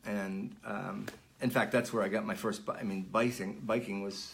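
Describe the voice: A man's fairly low voice with vocal fry and little pitch movement, at a moderate pace amid audible room echo.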